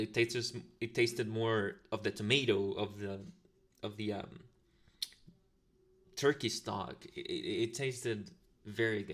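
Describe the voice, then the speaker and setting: A man speaks with a Latin American accent. He leaves long, frequent pauses. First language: Spanish. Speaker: ASMR streamer. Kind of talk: casual livestream chat. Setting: livestream. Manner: halting, many fillers. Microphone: new better microphone.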